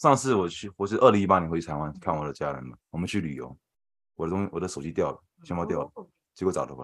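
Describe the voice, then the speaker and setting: A man with a very deep, low pitch and vocal fry talks at a very fast pace, his intonation lively and his loudness swinging widely, on a very clean recording with a silent background. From Taiwan, moved to New York at 13. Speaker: software developer. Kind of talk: casual chat.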